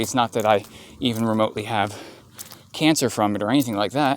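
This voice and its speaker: A man speaks quietly with ordinary pitch variation over noticeable background noise. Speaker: vlogger. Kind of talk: casual monologue. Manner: halting, many fillers.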